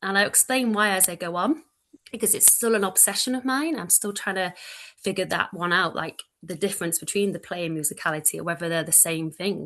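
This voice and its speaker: A woman at a medium pitch with a bright, sharp tone, a fairly quick pace and ordinary pitch variation, over a quiet background. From Manchester, northern England. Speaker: early childhood educator, lecturer. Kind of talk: online presentation. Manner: loud.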